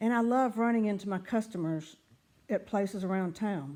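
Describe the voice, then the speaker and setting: In a Southern US accent, a woman talks at a fairly quick pace. Her medium-pitched voice has a dark, mellow tone and ordinary pitch variation. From US South. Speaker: writer and former pharmacist. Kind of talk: reading aloud her own writings; casual vlog talk. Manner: casual, with fillers.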